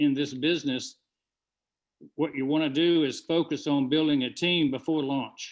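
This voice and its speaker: Here a man speaks with a fairly high voice. His intonation stays fairly even. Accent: Southern US. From US South, Georgia. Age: 70s. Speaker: webinar presenter. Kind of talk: business presentation.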